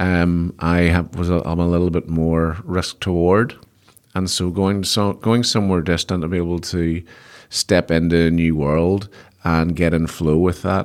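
A man with a Belfast accent speaks in a very deep, low voice with a flat, monotone delivery, captured in a very clean recording with a silent background. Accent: Belfast Northern Irish. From Northern Ireland, Belfast. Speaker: business executive and investor. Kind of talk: interview, casual chat. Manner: halting, many repetitions.

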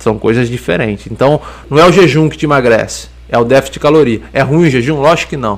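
Very fast male speech with vocal fry. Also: medium pitch for a man, ordinary pitch variation. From interior of São Paulo state, Brazil. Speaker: fitness coach and nutritionist. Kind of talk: casual podcast interview.

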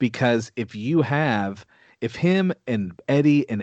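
Against a quiet background, a man with a Texan accent speaks at medium pitch with lively intonation. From Texas. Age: 30s. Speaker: music producer. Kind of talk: casual chat. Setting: video call.

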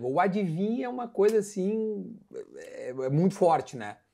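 Man at a very slow pace with lively intonation. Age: 40s. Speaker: podcast host. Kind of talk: casual chat. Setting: at home, grilling.

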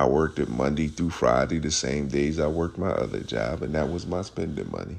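A man speaks at a moderate pace. His voice has vocal fry. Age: 50s. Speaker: podcast host. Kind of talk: solo monologue.

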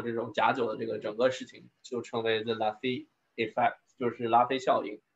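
Flat, monotone intonation from a man pitched in the medium range. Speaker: wine scientist giving a talk. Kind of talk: Q&A discussion; online lecture. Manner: halting.

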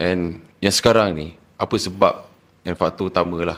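Speech moves at a moderate pace on a very clean recording with a silent background. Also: man. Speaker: podcast host. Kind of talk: casual podcast interview. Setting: studio.

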